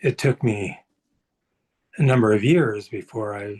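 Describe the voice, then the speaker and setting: A man is speaking at a medium pitch. His voice is somewhat breathy. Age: 70s. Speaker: cardiac arrest survivor, webinar participant. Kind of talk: personal testimony. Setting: video call webinar.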